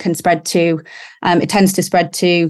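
Against a quiet background, a woman speaks at a fairly low pitch and moderate pace with fairly even intonation. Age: 30s. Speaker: lawyer, breast cancer patient. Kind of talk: testimony. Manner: hesitant, many ums.

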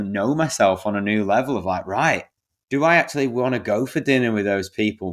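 On a very clean recording with a silent background, a man with an English accent speaks at a medium pitch and fairly quick pace, with ordinary pitch variation. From England. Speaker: men's coach. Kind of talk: interview conversation.

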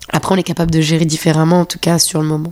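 A woman speaks in a calm tone with a very deep, low pitch and a monotone, flat intonation. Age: 30s. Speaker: dancer. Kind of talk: casual chat. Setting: host's apartment.

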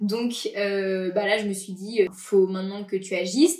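A woman speaks at a medium pitch and a fairly slow pace. Her pitch variation is ordinary. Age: 20s. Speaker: podcast guest sharing personal story. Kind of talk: personal testimony interview. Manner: casual, hesitant with many fillers.

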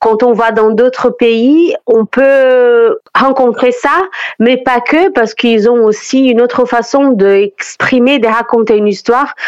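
A woman's high-pitched voice at a very slow pace, with ordinary pitch variation and very even loudness. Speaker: festival artistic director. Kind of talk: radio interview. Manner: hesitant, with frequent fillers.

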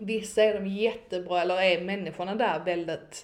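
With a medium pitch and a moderate pace, a woman uses an ordinary speaking voice with ordinary pitch variation. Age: 20s. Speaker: marketing consultant and network founder. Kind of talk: casual chat.

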